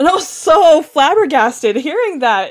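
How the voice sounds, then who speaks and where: A woman with an American accent, high in pitch with very wide pitch swings, at a moderate pace. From US, Los Angeles. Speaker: podcast co-host. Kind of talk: casual discussion. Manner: animated.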